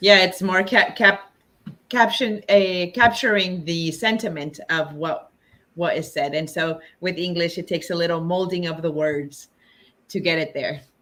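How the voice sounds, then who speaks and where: In a Spanish accent, a woman speaks at a moderate pace with a fairly low pitch. Her tone is bright and sharp, with ordinary pitch variation. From Los Angeles, US (born in Mexico, moved at seven). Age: 40s. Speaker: movement facilitator. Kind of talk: interview.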